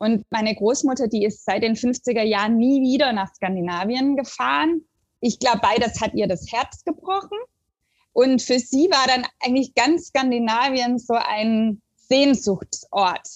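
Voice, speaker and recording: A woman with a high voice and lively intonation talks at a fairly slow pace. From southern Germany (Stuttgart area). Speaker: literature professor. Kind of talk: academic interview. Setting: remote call.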